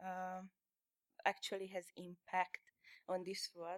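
Very slowly, a woman speaks at a medium pitch with a Hungarian accent. The sound is dry and close, with no echo. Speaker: illustrator and comic artist. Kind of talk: onstage interview. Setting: stage with audience.

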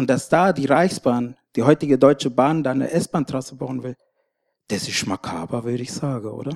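A man speaks in an ordinary speaking voice at medium pitch, with ordinary pitch variation and a moderate pace. The recording is very clean and dry, close with no echo, over a silent background. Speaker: Roma rights activist. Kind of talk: panel discussion. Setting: stage with audience.

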